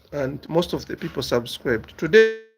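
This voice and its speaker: A man speaks at a moderate pace with noticeable background noise behind him. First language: a local African language. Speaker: business YouTuber. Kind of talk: casual monologue answering viewer questions. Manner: halting, repeats words.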